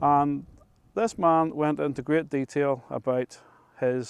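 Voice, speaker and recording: In a very clean recording with a silent background and a dry, close sound with no echo, a man with a Northern Irish accent speaks at a very slow pace in a fairly high pitch with ordinary pitch variation. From Northern Ireland, Ards Peninsula. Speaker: local history storyteller. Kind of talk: storytelling. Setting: outdoors.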